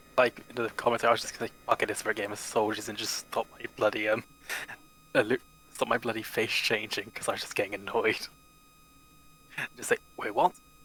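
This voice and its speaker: Through noticeable background noise and a dry, close sound with no echo, a man talks very fast between long, frequent pauses. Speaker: tabletop role-play gamer. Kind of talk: casual chat.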